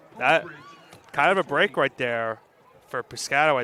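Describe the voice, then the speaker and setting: A man speaks at a moderate pace with a New York accent. The sound is dry and close, with no echo. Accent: Staten Island. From Staten Island, New York. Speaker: color commentator. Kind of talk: live commentary.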